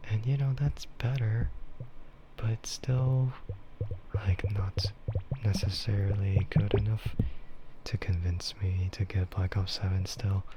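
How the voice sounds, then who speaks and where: A man with a fairly low pitch talks at a very slow pace in a relaxed tone, with ordinary pitch variation. Noticeable background noise sits behind him. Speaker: streamer. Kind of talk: casual talk to camera. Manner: slow, relaxed, rambling.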